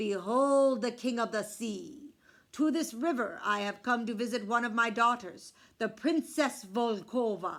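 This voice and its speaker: A woman's put-on character voice, fairly high in pitch, on a very clean recording with a silent background. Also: moderate pace. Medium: read story. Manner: regal, commanding.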